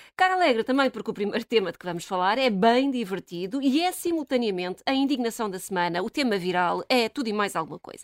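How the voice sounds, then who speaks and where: Very fast and with hardly any pauses, a woman speaks at a fairly high pitch in an animated tone, her pitch swinging very widely. The recording is very clean with a silent background, and the sound is dry and close with no echo. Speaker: radio commentator. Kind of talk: casual chat.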